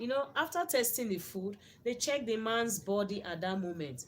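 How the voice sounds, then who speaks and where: A woman speaks with a Nigerian accent. Her pace is moderate and her intonation lively. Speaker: YouTuber reacting to a video. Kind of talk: video commentary. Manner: repetitive.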